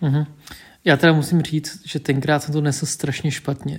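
On a very clean recording with a silent background, a man speaks in a somewhat breathy, monotone voice with flat intonation. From Czech Republic, Vietnamese family. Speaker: podcast co-host. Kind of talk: casual chat.

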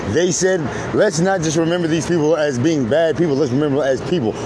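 Noticeable background noise is present. The pitch variation is ordinary. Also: man. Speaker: video host and Marine veteran. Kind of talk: angry rant. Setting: outdoors near highway, recorded video. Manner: loud, profane, mocking, sarcastic; fiery, emphatic.

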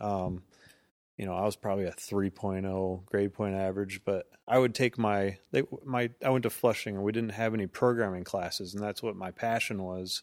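A man with a fairly low pitch speaks at a moderate pace, his intonation fairly even, in a plain, everyday voice. The recording is very clean and the background silent. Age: 30s. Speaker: entrepreneur and business owner. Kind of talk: casual interview.

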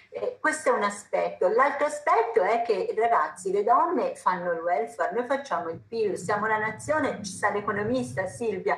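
A woman's fairly high voice, lively in intonation, at a moderate pace over noticeable background noise. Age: 60s. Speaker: surgeon, medicine professor. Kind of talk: panel talk.

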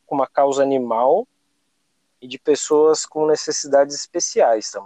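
In an ordinary speaking voice, a man with a fairly high pitch and ordinary pitch variation talks at a fairly slow pace, with a dry, close sound and no echo. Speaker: podcast host. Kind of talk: casual chat.

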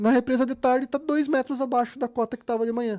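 A man speaks at a very fast pace with a dark, mellow tone and a Rio Grande do Sul accent, in a dry, close recording with no echo that is very clean over a silent background. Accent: gaúcho (Rio Grande do Sul). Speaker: fisheries engineer and fishing lure business owner. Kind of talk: casual interview chat. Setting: studio.

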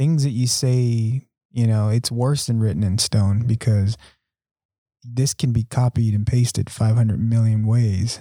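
Using an American accent, a man talks at a fairly slow pace and medium pitch in a dark, mellow tone, with fairly even intonation, very even loudness, and a dry, close sound with no echo. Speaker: podcast host and school communications coordinator. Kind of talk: casual podcast interview.

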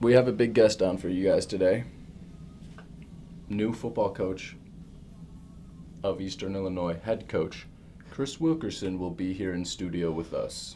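In a put-on, robotic character voice, a man with a fairly low pitch talks at a moderate pace with long, frequent pauses over clear background noise. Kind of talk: stiff announcer-style delivery. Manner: robotic, monotone.

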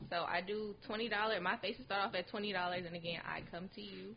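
Talking at a very fast pace, a woman keeps ordinary pitch variation. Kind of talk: casual podcast conversation. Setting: podcast recorded in person.

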